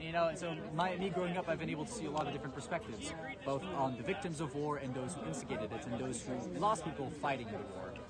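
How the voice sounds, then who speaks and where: A man's fairly high voice at a very fast pace, lively in intonation, with noticeable background noise and audible room echo. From Belgium. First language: French. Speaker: student in a street debate. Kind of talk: street debate.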